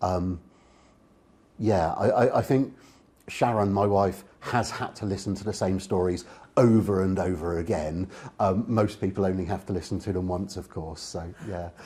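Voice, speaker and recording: With a southern English accent, a man speaks at a moderate pace in a very deep, low pitch, with a dark, mellow tone, fairly even intonation and a somewhat breathy quality. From England, Oxfordshire. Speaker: public speaker and author. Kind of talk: interview conversation.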